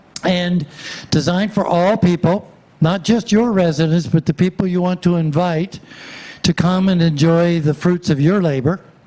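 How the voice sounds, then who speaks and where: A man talks fairly slowly in a high-pitched voice with ordinary pitch variation. Noticeable background noise runs under the recording. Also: very even loudness. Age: 80s+. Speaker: walkability planning consultant. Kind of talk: public presentation. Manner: hesitant with frequent fillers.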